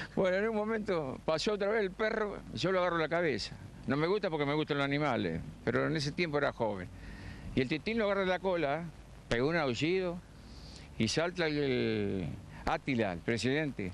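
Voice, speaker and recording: Over light background noise, a man speaks at a fairly quick pace and fairly high pitch, his pitch swinging very widely. His loudness stays very even, and the sound is dry with no echo. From Argentina. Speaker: retired amateur footballer; interviewee. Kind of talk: live TV interview. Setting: outdoors on a football pitch. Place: stadium. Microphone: handheld.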